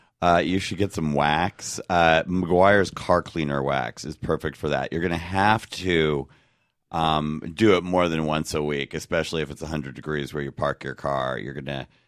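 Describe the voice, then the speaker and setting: In a Californian accent, a man with a very deep, low pitch speaks at a moderate pace with ordinary pitch variation, on a very clean recording with a silent background. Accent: General American (California). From Los Angeles, US West Coast. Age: 40s. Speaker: comedian, fill-in co-host. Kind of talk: casual comedic advice chat.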